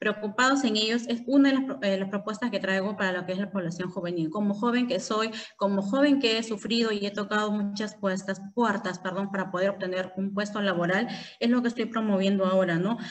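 Speech comes at a fairly quick speed. Intonation is fairly even throughout. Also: woman. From Peru. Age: 30s. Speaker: congressional candidate; candidate. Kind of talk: interview. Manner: halting, with many fillers. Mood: earnest, personal. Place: home room. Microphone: video call.

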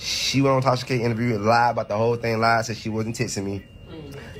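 Over light background noise, a man speaks at a fairly quick pace with fairly even intonation. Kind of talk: casual vlog rant. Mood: angry, accusatory. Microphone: phone near.

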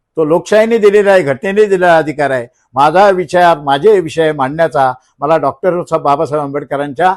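A man is speaking. His pitch rises and falls in an ordinary way. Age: 60s. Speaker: local politician. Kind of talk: press conference. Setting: press conference. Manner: animated.

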